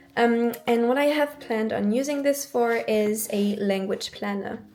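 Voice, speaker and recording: Speech comes at a fairly slow pace. Music plays in the background. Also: woman. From France. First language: French. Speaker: planner YouTuber, university student. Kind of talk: casual show-and-tell vlog. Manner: hesitant, many fillers.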